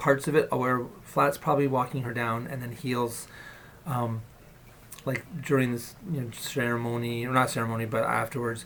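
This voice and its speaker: A man at a moderate pace, medium in pitch, with fairly even intonation. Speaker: vlogger. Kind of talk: personal video diary. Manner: casual with fillers.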